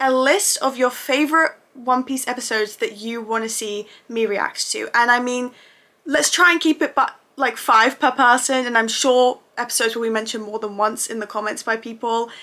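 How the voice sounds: A woman talks at a moderate pace in a fairly high pitch, her bright, sharp tone carrying ordinary pitch variation.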